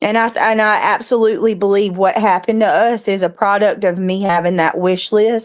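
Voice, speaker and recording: A woman with a Southern US accent speaks at a moderate pace and medium pitch, her intonation fairly even, on a very clean recording with a silent background. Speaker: live stream host. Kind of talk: casual chat. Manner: halting.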